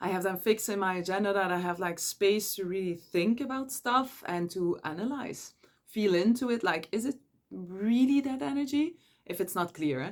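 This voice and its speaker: This woman has a Dutch accent and a medium-pitched voice. Her intonation is lively, and she talks at a moderate pace. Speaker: energy coach. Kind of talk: casual advice monologue.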